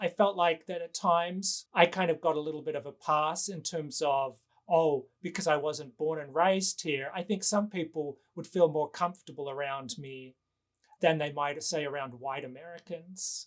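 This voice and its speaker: A man with an Australian accent speaks at a moderate pace and a fairly high pitch, with ordinary pitch variation and big swings in loudness. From Western Australia. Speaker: novelist and professor. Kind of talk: interview.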